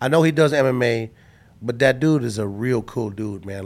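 A man speaks in an unremarkable speaking voice at a medium pitch with ordinary pitch variation, on a very clean recording with a silent background. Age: 40s. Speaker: boxing ring announcer. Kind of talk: casual chat.

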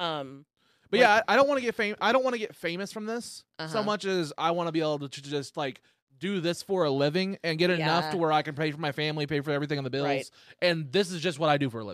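Speaking at a very fast pace, a man keeps his intonation lively. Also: fairly high pitch for a man. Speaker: podcast host, stand-up comedian.

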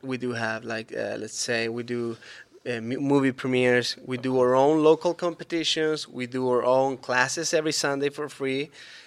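Speaking with a Spanish accent, a man keeps a medium pitch, a moderate pace, and fairly even intonation. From Chile. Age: 30s. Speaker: BMX vert rider. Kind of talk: casual interview.

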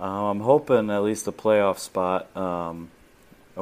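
In a very clean recording with a silent background, a man with an American accent speaks at a fairly slow pace with fairly even intonation. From Florida, Tampa. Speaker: military veteran, sports fan. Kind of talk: casual interview.

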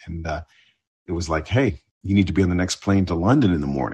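A somewhat breathy voice comes through against a quiet background. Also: man. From Ontario, Canada. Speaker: TV news correspondent. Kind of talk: interview chat.

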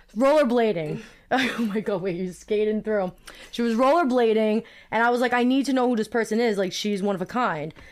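Talking at a fairly quick pace, a woman with a fairly high voice speaks in a Brooklyn accent. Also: ordinary pitch variation. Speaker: podcast host. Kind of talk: casual chat.

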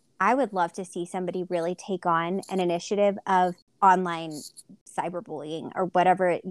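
A plain, everyday voice from a woman at medium pitch and moderate pace, dry and close with no echo, on a very clean recording with a silent background. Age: 30s. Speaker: pageant podcast co-host. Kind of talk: casual chat.

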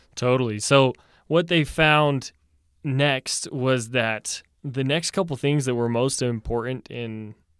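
A man speaks in an unremarkable speaking voice at a fairly slow pace, with ordinary pitch variation. The sound is dry and close with no echo, and the recording is very clean over a silent background. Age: 20s. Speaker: psychology podcast co-host, neuroscience student. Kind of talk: casual interview discussion.

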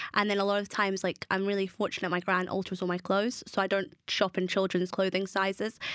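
Very fast and with hardly any pauses, a woman speaks at medium pitch in a monotone, flat intonation and very even loudness. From South Africa. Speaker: reality TV star and advocate. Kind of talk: casual interview chat.

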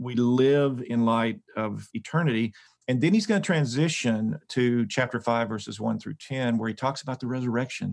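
A man with a normal speaking voice, medium pitch, ordinary pitch variation and a moderate pace, hardly any pauses, on a very clean recording with a silent background. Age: 60s. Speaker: Bible scholar and professor. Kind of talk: podcast interview on scripture.

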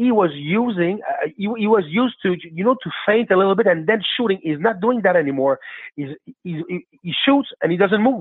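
A high-pitched man with a Quebec accent, at a moderate pace with lively intonation. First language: French. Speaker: caller. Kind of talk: casual chat.

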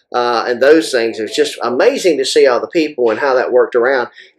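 Fairly quick talk from a man in a Southern US accent. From US South. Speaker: firearms industry manufacturer and match director. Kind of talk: casual interview.

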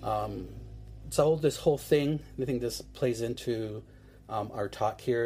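A man with an American accent speaks at medium pitch and a moderate pace, with fairly even intonation. His tone is dark and mellow, and somewhat breathy. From Seneca Nation, New York State. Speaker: filmmaker. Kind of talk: interview. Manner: halting.

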